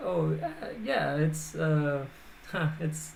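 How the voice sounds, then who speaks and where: A woman speaks with a very deep, low pitch and fairly even intonation. Audible room echo surrounds her voice. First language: not English. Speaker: game developer. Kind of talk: live stream demo. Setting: live stream. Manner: halting, many fillers and restarts.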